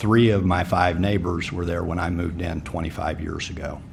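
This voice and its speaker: The voice moves at a moderate pace, with room echo clearly audible. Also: man. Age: 50s. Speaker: city commission applicant. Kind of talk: public forum answer.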